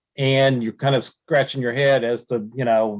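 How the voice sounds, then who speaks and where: He speaks with an American accent at a moderate pace. This man has an ordinary speaking voice and a medium pitch. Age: 60s. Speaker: trapping supply business owner. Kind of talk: podcast interview.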